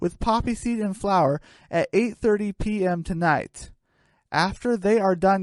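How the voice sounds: The pitch varies in an ordinary way. It is a natural reading voice against a quiet background.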